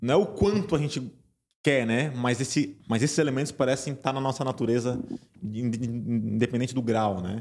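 The clip has an unremarkable speaking voice delivered at a moderate pace with ordinary pitch variation. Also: man, medium pitch for a man. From Santa Catarina, Brazil (small interior town). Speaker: university professor and behavior researcher. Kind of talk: podcast interview.

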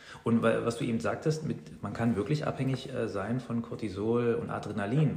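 A man talks at a medium pitch, and the room's echo can be heard. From Saxony-Anhalt, eastern Germany (Weißenfels near Leipzig). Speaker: teacher and mindfulness coach. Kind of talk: casual interview. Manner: hesitant, many filler sounds.

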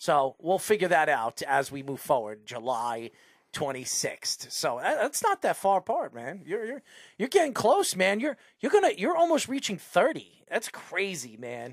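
Animated in tone, a man speaks at a fairly slow pace in a high voice with very wide pitch swings. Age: 40s. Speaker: sports radio host. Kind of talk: casual sports talk show.

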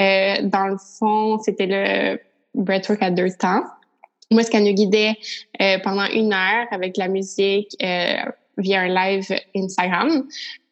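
A woman in a Quebec accent speaks at a very slow pace, leaving long, frequent pauses. Her pitch is medium, with fairly even intonation. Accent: Québécois French. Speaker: podcast host. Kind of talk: casual interview.

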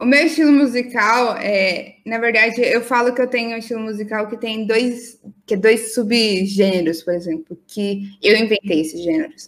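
A woman's fairly high-pitched, a normal speaking voice at a moderate pace, with hardly any pauses and ordinary pitch variation. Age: 20s. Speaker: podcast co-host, museum worker. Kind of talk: casual chat.

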